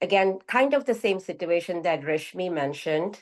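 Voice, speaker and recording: A woman speaks at a fairly quick pace in a medium pitch with ordinary pitch variation. The background is quiet. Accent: Indian. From India. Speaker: group participant sharing personal story. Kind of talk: personal testimony in group sharing. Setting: video call. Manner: halting.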